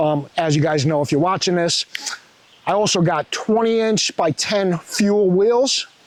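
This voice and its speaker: With a New York accent, a man speaks in a high voice with an animated tone and ordinary pitch variation. Background noise is noticeable. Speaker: truck vlogger. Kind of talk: casual vlog walkaround.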